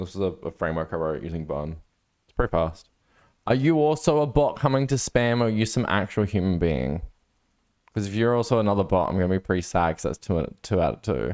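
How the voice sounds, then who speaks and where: On a very clean recording with a silent background, a man with an Australian accent talks at a very fast pace, his very deep, low voice making very wide pitch swings and big swings in loudness. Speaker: livestreamer, programmer. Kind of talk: casual live stream chat.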